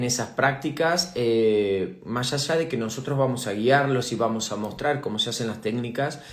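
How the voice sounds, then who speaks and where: A fairly slow delivery in a Rioplatense accent, with ordinary pitch variation and audible room echo. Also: man. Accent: Argentine Spanish (rioplatense). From Argentina. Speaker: aesthetic medicine doctor and teacher. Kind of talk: live stream Q&A talk. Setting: live online stream. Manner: hesitant, many fillers (eh, repeated words).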